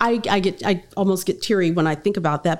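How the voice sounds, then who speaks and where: The recording is very clean, with a silent background. A woman with an American accent speaks fairly quickly at a medium pitch, her pitch varying in an ordinary way. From Miami, Florida (Liberty City). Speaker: business coach and former executive. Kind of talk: interview. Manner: animated.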